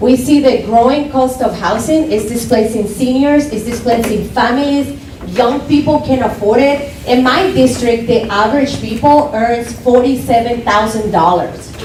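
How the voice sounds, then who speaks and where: A woman's high voice in a Spanish accent, moderate in pace with hardly any pauses and ordinary pitch variation, amid noticeable background noise and audible room echo. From Colombia. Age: young. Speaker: political candidate. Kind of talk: campaign speech. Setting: club meeting with audience. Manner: impassioned.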